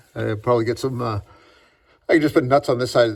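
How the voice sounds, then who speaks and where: With ordinary pitch variation, a man's voice sits at a medium pitch. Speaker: car DIY youtuber. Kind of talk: casual workshop tutorial. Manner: halting; loud.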